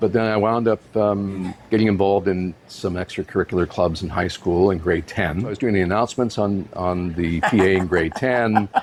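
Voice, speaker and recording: Noticeable background noise sits behind a man with a fairly low pitch. He talks at a moderate pace with fairly even intonation and hardly any pauses. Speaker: radio broadcaster and author. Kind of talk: interview answer, personal life story. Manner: conversational, reflective.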